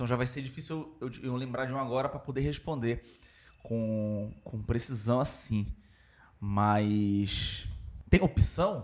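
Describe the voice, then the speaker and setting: Big swings in loudness mark a man's speech, delivered at a fairly slow pace. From Belém do Pará, Brazil. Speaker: podcast guest, member of a comedy group. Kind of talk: casual comedic chat. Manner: halting, repetitive.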